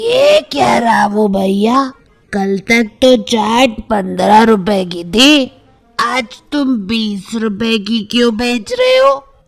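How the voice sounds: With music in the background, a woman does a cartoonish character voice at a fairly high pitch and a very slow pace.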